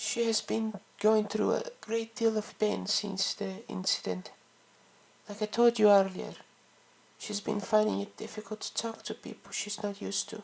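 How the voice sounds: In a put-on character voice, a woman speaks at a fairly slow pace with little pitch movement, vocal fry, a slightly husky edge and a slightly mellow tone. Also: medium pitch for a woman.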